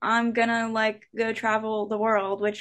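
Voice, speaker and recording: A woman with a plain, everyday voice, fairly high in pitch, at a fairly slow pace. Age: 20s. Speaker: band lead singer. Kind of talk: interview.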